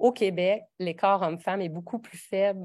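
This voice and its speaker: A woman with a fairly low voice talks at a moderate pace. Her intonation is fairly even, and the recording is very clean with a silent background. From Quebec (a region outside Montreal). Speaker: professor. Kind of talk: lecture. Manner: halting, many fillers and restarts.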